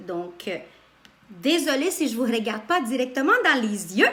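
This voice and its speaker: Lively intonation marks this woman's speech, heard with audible room echo and noticeable background noise. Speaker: spiritual coach. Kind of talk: live stream talk. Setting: live video stream. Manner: loud; animated.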